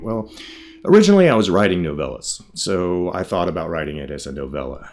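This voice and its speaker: A man with a very deep, low pitch speaks at a fairly quick pace. There is noticeable background noise. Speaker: writer and creator of a radio drama. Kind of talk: interview answer. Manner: casual, conversational.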